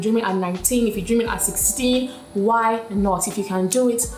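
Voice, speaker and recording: There is noticeable noise behind the speaker. She is a woman whose intonation stays fairly even. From Nigeria. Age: 20s. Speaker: media personality, lifestyle YouTuber. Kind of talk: casual talk to camera.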